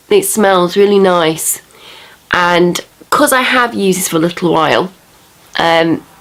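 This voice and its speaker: Over noticeable background noise, a woman with a fairly low pitch and lively intonation speaks at a fairly slow pace with long, frequent pauses. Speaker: beauty vlogger. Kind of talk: product review tutorial. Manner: casual chatty.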